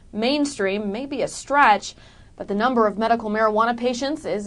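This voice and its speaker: With an unremarkable speaking voice, a woman talks at a moderate pace and a fairly high pitch, with ordinary pitch variation. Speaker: TV news reporter. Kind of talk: TV news report.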